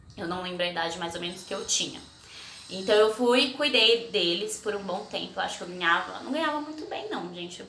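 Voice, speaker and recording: Amid noticeable background noise and audible room echo, a woman speaks at a fairly quick pace and medium pitch with lively intonation. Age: 20s. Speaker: vlogger. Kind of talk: casual personal storytelling vlog. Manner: chatty, conversational.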